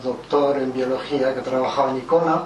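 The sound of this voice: Moderately paced speech with fairly even intonation and audible room echo. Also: man.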